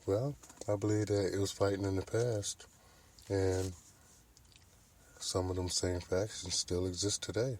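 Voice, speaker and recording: A man speaks with a very deep, low pitch and ordinary pitch variation. His voice is somewhat breathy, with long, frequent pauses. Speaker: podcast host. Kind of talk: casual monologue. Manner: slow.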